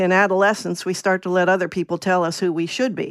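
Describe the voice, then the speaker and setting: A woman with an American accent talks at a very fast pace. Her pitch is medium, and the recording is very clean with a silent background. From Virginia. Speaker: essayist, former letter carrier. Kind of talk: casual interview.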